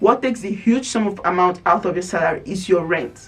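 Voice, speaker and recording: Noticeable noise runs through the background. The talking is fairly quick. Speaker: lifestyle vlogger. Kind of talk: casual vlog advice talk. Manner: animated.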